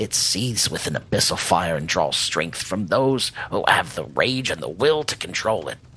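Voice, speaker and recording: Putting on a character voice, a man speaks raspily at a fairly low pitch with very wide pitch swings, a moderate pace and hardly any pauses, over light background noise. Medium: actual play. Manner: gruff, wry.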